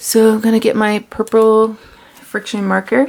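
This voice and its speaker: Noticeable background noise sits behind this woman. She speaks with an American accent at a fairly high pitch. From US, Maryland. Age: 30s. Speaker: planner vlogger. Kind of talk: tutorial.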